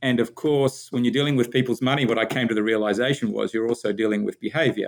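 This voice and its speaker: With an Australian accent, a man speaks very fast at a medium pitch, keeping fairly even intonation and very even loudness. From Australia, Sydney. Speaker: business founder and executive. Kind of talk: podcast interview.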